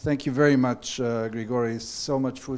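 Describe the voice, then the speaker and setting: The tone is dark and mellow, with fairly even intonation. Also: man. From former Yugoslavia. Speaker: event moderator. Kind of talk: moderating an academic event. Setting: stage with audience. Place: hall. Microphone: handheld.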